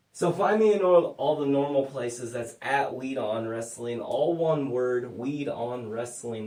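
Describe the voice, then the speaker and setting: A man's fairly high voice at a fairly slow pace, with noticeable background noise and audible room echo. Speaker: podcast host. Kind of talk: casual chat. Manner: slurred.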